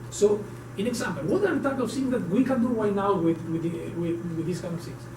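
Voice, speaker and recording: Amid noticeable background noise and audible room echo, a man talks at a very fast pace with a high pitch and lively intonation. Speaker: tech conference speaker. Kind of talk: technical talk at a meetup. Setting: meetup room with audience. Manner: animated.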